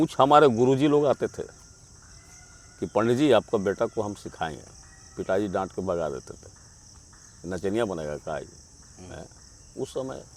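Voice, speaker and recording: A man speaks with lively intonation. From Jharkhand, India. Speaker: amateur musician, flute player. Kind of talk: interview answer.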